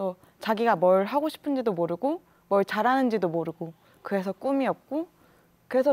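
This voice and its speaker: A woman at a moderate pace, fairly high in pitch, with very wide pitch swings. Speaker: student union president; talk show guest. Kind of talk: panel discussion. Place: studio. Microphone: lapel.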